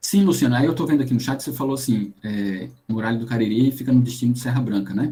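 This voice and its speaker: Barely pausing, a man talks at a very fast pace with a medium pitch and ordinary pitch variation. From Paraíba coast, Brazil. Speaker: geoscience lecturer. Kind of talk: online lecture.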